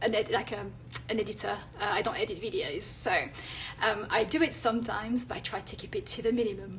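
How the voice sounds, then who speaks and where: A woman talks at a very fast pace with a French accent. Noticeable background noise is present. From France. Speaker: illustrator and content creator. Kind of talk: live stream talk. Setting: Instagram live. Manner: hesitant, many fillers.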